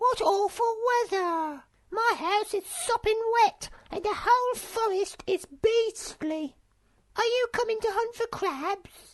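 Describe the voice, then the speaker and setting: A woman puts on a character voice at an extremely high pitch, squeaky and shrill. She speaks at a fairly slow pace. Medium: read story.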